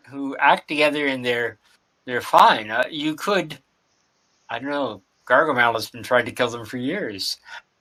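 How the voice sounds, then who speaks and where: The speaker is a man with a bright, sharp tone. His pitch variation is ordinary. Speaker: game master. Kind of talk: game master narration in actual play.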